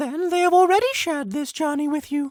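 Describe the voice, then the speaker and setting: The put-on character voice sits at a high pitch and moves at a fairly quick pace. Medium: read story. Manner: calm, measured, formal.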